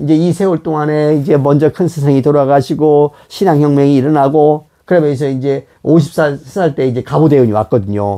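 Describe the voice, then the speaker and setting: A dark, mellow tone marks this man's fairly high-pitched voice as he talks at a fairly quick pace. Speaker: religious leader and teacher. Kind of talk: religious talk on fortune-telling. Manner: conversational with many fillers.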